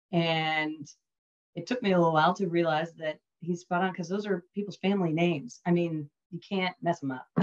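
An ordinary speaking voice from a woman, fairly low-pitched and fairly quick, with fairly even intonation. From US East Coast, Northern Virginia (DC suburbs). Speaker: maritime industry executive. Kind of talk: interview.

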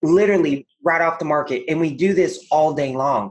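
This is a man speaking. His pitch is fairly high. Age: 40s. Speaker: real estate investor. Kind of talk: casual chat. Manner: animated.

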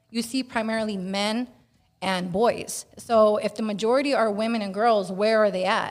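A woman's fairly high voice, an ordinary speaking voice, with a moderate pace and fairly even intonation. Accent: American. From Northern California (Bay Area). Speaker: activist. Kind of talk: casual chat.

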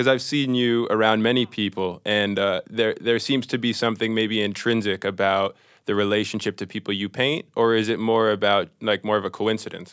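Speaking at a moderate pace with hardly any pauses, a man with an American accent uses a normal speaking voice, fairly low in pitch and fairly even in intonation. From Minnesota and various US cities. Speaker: painter. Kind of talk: casual conversation.

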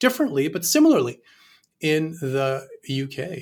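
Somewhat breathy, a man speaks in a Canadian accent at a fairly high pitch. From Canada. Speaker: law professor. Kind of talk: panel discussion. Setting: video call.

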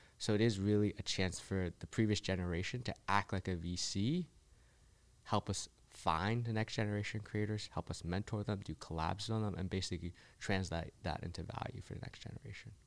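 A man with a plain, everyday voice talks at a fairly quick pace and a fairly low pitch, his intonation fairly even, in a very clean recording with a silent background. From US, child of Chinese immigrants. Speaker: entrepreneur and investor. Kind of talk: casual interview. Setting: in person.

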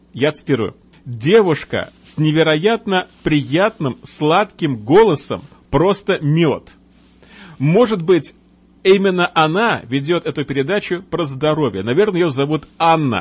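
A man at a fairly high pitch, lively in intonation, at a very slow pace. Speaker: radio host. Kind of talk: radio show hosting. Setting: live radio broadcast.

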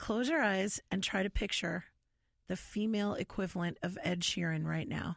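On a very clean recording with a silent background, a woman speaks at a medium pitch and moderate pace with vocal fry. Her pitch shows ordinary variation and her loudness stays very even. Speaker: singer in a band. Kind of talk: casual interview chat. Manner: warm, friendly, enthusiastic.

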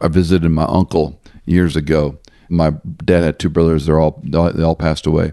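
The voice has a dark, mellow tone and monotone, flat intonation at a fairly quick pace. Its loudness stays very even, and the sound is dry and close with no echo. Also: man, very deep, low pitch for a man. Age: 60s. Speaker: pastor and Bible teacher. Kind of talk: interview.

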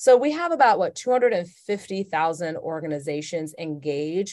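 An American accent colors this woman's unremarkable speaking voice, pitched at a medium level. She speaks at a fairly slow pace against a quiet background. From US South, Atlanta, Georgia. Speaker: corporate diversity executive. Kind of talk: interview.

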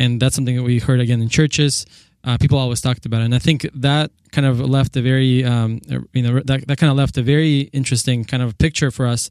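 Very fast speech from a man at medium pitch, monotone and flat, with a dry, close sound and no echo. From southern Russia. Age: 30s. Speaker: political organization founder. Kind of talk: interview. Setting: studio.

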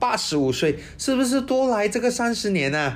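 Very wide pitch swings at a moderate pace. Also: man. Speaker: financial planner hosting an insurance segment. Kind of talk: casual educational talk.

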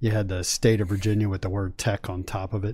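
A man talks in a fairly low pitch with a dark, mellow tone that is somewhat breathy. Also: very clean recording, silent background. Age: 50s. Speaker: sports website founder. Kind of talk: casual sports chat. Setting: studio.

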